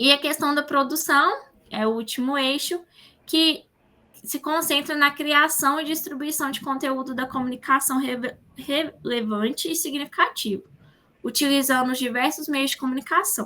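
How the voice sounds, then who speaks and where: Raised and projected, a woman's high-pitched voice carries a bright, sharp tone. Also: ordinary pitch variation, moderate pace. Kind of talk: online class lecture.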